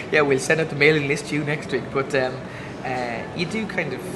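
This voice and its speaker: A man with an Irish accent speaks at a fairly quick pace, his pitch fairly high. Room echo is audible and background noise is noticeable. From Ireland. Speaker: comedian. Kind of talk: interview. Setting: comedy festival. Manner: halting.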